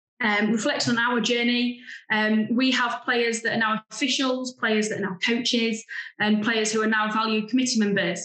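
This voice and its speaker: With audible room echo but a quiet background, a woman of fairly high pitch speaks at a moderate pace in a monotone, flat intonation and very even loudness. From England. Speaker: grassroots football club founder; presenter. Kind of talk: remote presentation. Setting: video call. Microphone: video call.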